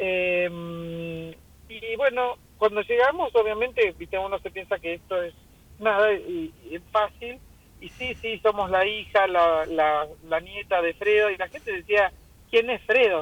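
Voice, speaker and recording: Speaking at a fairly slow pace with a Rioplatense accent, a woman keeps a medium pitch while her loudness swings widely. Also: ordinary pitch variation. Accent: Argentine Spanish (rioplatense). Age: 60s. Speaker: restaurant owner. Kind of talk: radio interview.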